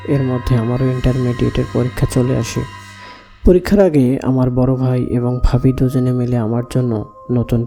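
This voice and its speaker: Music can be heard behind the speaker. His voice sits at a medium pitch for a man. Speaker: radio-style horror story host. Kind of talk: first-person horror story reading.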